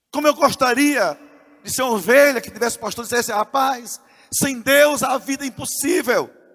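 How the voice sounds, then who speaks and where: This man's pitch is extremely high. His loudness swings widely. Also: ordinary pitch variation, moderate pace. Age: 60s. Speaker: pastor. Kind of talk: sermon. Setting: church.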